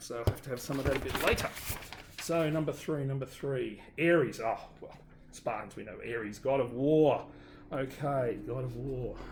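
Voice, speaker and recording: With a strong Australian accent, a man of medium pitch speaks at a moderate pace, his loudness swinging widely over noticeable background noise. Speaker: obstacle course racer. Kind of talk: casual talk to camera. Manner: upbeat.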